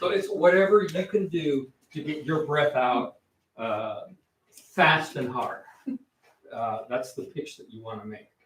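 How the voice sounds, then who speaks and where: This man's fairly high voice has lively intonation and big swings in loudness. He goes at a fairly slow pace, with long, frequent pauses. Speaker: guest martial arts instructor. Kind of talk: kids karate class instruction. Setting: martial arts class, live streamed. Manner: loud counting commands.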